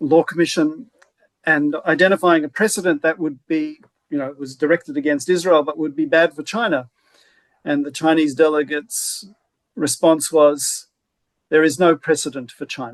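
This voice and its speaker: With an Australian accent, a man talks at a fairly high pitch and a moderate pace, his intonation fairly even and the sound dry and close with no echo. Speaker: law professor. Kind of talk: webinar discussion. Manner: halting.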